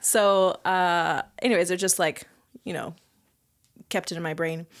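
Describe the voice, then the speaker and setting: A woman with a normal speaking voice talks at a fairly slow pace and medium pitch, her intonation fairly even, on a very clean recording with a silent background. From Southern California (Ventura). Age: 30s. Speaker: sommelier and restaurant manager. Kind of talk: casual chat.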